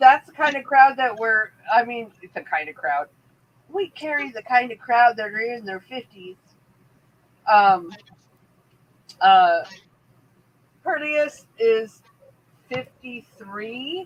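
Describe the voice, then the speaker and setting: With a Pittsburgh accent, a woman speaks at fairly high pitch and a very slow pace, with long, frequent pauses, very wide pitch swings and big swings in loudness. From Pittsburgh, US. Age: 50s. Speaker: livestream talk show host. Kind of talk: casual chat.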